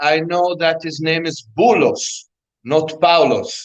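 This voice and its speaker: The speaker is a man with an Arabic accent. His pitch is high. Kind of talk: interview. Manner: halting.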